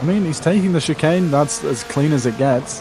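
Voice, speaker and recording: The pace is fairly slow. Background noise is noticeable throughout. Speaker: sim racing stream commentator. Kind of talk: live commentary. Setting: live stream.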